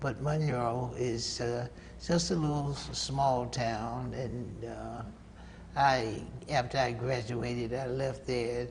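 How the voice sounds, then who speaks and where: Speaking with a Southern US accent, a man talks at a very slow pace and a medium pitch with fairly even intonation. Audible room echo and noticeable background noise fill the recording. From US South, North Carolina. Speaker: saxophonist. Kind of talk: interview. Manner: halting.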